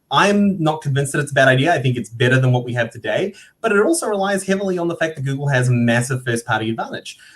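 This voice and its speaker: Breathy in a mild way, a man talks very fast at a fairly high pitch with lively intonation and hardly any pauses. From New Zealand. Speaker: digital marketing panelist. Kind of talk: panel discussion. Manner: repetitive false starts.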